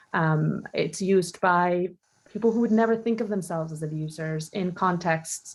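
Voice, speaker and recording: At a moderate pace, a woman speaks at a fairly low pitch with ordinary variation. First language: not English. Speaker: panel moderator. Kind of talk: moderated panel discussion. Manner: halting, many fillers.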